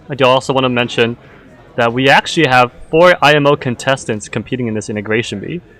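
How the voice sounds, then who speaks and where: The speaker keeps a moderate pace and ordinary pitch variation against noticeable background noise. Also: man. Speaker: livestream host of an integration contest. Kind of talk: live event announcing. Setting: livestream. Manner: casual, filler-heavy; loud.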